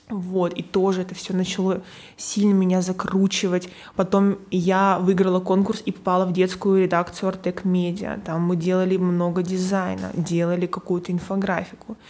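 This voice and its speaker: A woman speaks at a medium pitch and a moderate pace. Her intonation stays monotone and flat. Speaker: graphic designer. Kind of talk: casual interview.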